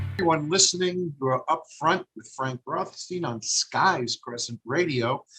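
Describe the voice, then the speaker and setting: A man with a slight Brooklyn accent speaks at a fairly slow pace and a fairly high pitch, with ordinary pitch variation, big swings in loudness and hardly any pauses. The sound is dry and close with no echo, and music plays in the background. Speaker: radio host, streamer. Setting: live stream broadcast. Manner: puts on a radio voice for station name.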